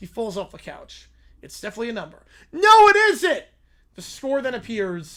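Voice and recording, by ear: Text read aloud in a natural voice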